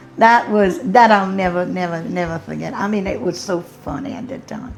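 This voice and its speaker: Over noticeable background noise, a woman with a Southern US accent talks at a moderate pace in a medium pitch, her intonation lively and her loudness swinging widely. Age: 70s. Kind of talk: interview answer.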